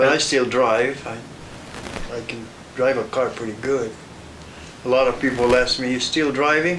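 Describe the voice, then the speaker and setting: With long, frequent pauses, a man with an American accent talks at a moderate pace and medium pitch, his intonation fairly even, amid noticeable background noise and audible room echo. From New Mexico, US. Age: 80s+. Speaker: elderly grandfather interviewee. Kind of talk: family oral history interview. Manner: halting, repetitive.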